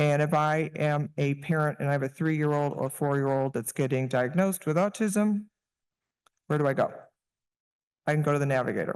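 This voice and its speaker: Over a quiet background, a man talks fairly quickly with fairly even intonation. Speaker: technology partner presenter. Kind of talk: conference presentation.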